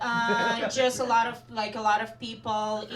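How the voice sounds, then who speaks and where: In an Eastern European accent, a woman with a fairly high voice talks at a very slow pace. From Belarus. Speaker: stand-up comedian. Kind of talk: live stand-up comedy set.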